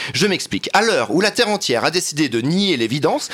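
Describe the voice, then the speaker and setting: Over noticeable background noise, a man with a fairly high voice swings very widely in pitch. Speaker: columnist. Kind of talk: comedic column. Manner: animated.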